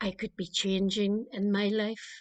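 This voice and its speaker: A woman with a Northern Irish accent and a fairly high pitch, in a dry, close sound with no echo. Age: 70s. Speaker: clergy member. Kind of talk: spoken meditation.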